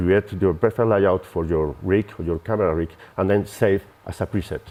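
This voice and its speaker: A man with a Spanish accent speaks at a moderate pace. His pitch is very deep and low, with ordinary variation. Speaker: software company representative. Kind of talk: product demo. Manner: halting.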